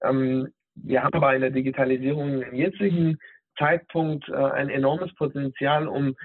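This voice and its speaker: A fairly high-pitched male voice with fairly even intonation. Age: 30s. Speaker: digital health specialist, former nurse. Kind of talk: interview. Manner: hesitant, many fillers.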